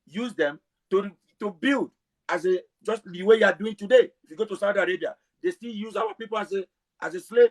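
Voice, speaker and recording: The speaking pace is fairly quick. The sound is dry and close, with no echo. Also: man. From Africa. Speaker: self-described historian. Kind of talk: heated debate. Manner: fast.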